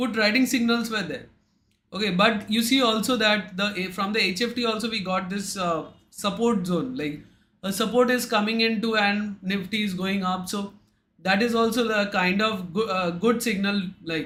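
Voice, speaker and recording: Bright and sharp in tone, a man with a high pitch speaks at a moderate pace amid audible room echo. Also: fairly even intonation. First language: Bengali. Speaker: trading indicator vendor. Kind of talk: livestream chat with market commentary. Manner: hesitant, many fillers.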